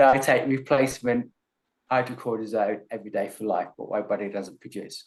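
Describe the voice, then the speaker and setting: A man with an Australian accent talks at a fairly quick pace and a medium pitch, with fairly even intonation. His loudness swings widely. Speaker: chronic illness advocate and speaker. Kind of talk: interview.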